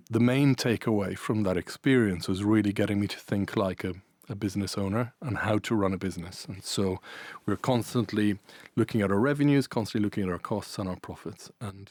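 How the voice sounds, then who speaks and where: A man's fairly low voice in an Irish accent, fairly quick, with ordinary pitch variation, on a very clean recording against a silent background. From Ireland and Italy. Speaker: events business managing director. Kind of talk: podcast interview. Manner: hesitant, many fillers.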